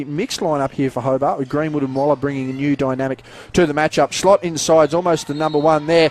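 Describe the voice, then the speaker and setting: Over noticeable background noise, a man talks at a fairly quick pace with a dry, close sound and no echo. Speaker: basketball commentator. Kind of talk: live sports play-by-play commentary.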